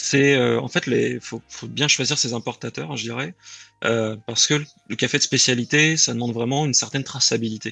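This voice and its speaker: Using a bright, sharp tone with vocal fry, a man talks fairly quickly at a medium pitch with ordinary pitch variation. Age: 30s. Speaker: aspiring coffee roaster. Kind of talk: interview. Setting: live stream.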